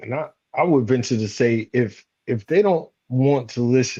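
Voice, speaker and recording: Speaking in an American accent, a man uses a medium pitch. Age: 40s. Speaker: retired Marine, leadership coach. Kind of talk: panel conversation.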